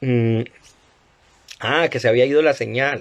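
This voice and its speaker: A man's voice at a medium pitch. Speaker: lecturer on religious texts. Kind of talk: live-stream lecture. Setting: Instagram live stream. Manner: fast.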